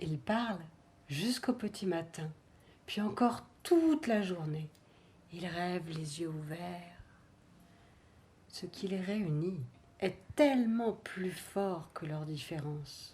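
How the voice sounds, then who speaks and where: With a dark, mellow tone and a fairly low pitch, a somewhat breathy woman speaks at a very slow pace, her intonation lively and her pauses long and frequent. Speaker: storyteller. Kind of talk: children's story telling.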